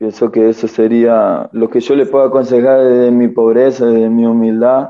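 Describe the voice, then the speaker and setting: Flat and monotone, a man talks at a moderate pace in a medium pitch. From Argentina, San Luis province. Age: 20s. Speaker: recovered addict living in a religious community. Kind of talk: testimony.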